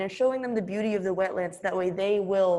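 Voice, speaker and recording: The speaker talks at a very fast pace. Noticeable background noise runs throughout. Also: woman. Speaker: college student. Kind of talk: class presentation. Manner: animated.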